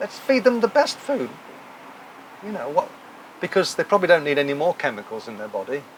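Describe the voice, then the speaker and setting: A man with an English accent speaks with lively intonation. Noticeable background noise runs underneath. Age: 60s. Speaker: talk show host. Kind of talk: casual chat. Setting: live audience at a hotel.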